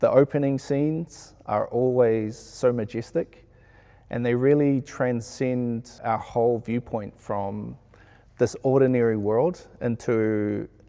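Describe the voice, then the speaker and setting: A man with a New Zealand accent speaks fairly slowly in a dark, mellow tone with fairly even intonation, recorded very cleanly against a silent background. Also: medium pitch for a man. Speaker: sound engineer. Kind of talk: interview.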